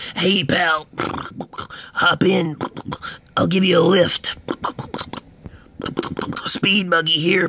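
A man uses a cartoonish character voice pitched high. He talks at a very slow pace with long, frequent pauses. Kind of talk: cartoon voice impressions.

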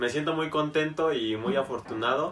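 Fairly even intonation from a man. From Mexico City. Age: young. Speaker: footballer. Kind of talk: interview. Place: home room.

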